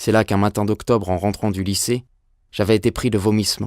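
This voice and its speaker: A man speaks at a fairly low pitch and a fairly quick pace, his intonation monotone and flat. The recording is very clean with a silent background, and the sound is dry and close with no echo. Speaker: voice actor. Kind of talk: audiobook reading.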